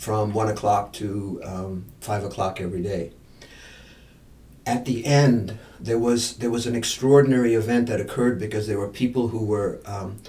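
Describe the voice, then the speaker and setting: The man's voice is fairly low, with fairly even intonation. He keeps a moderate pace, and room echo is audible. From India. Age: 70s. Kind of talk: podcast interview. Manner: halting, with many repeated words; reflective.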